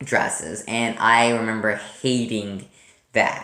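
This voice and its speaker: A man is speaking. He goes at a very slow pace. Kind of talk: casual talk to camera. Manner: stuttering, hesitant.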